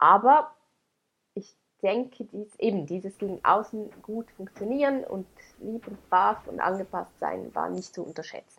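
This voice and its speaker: Her pitch medium, a woman talks fairly slowly with vocal fry, ordinary pitch variation and big swings in loudness. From Switzerland, Graubünden. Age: 30s. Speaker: teacher and blogger on adoption. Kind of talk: interview, personal testimony.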